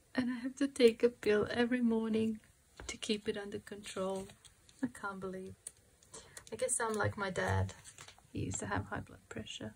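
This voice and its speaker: A woman speaks at a moderate pace with big swings in loudness and long, frequent pauses, over noticeable background noise. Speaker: crafting youtuber. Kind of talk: craft tutorial chat. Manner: calm.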